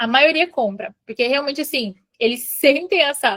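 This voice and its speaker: A woman at a moderate pace, ordinary pitch variation, in a dry, close sound with no echo. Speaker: aesthetics professional teaching a training class. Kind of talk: online training lecture.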